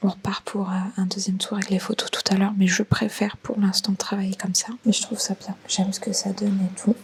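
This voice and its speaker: A woman whispers at a fairly quick pace. Noticeable background noise runs behind her. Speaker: video editor vlogger. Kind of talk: vlog narration. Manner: whispering.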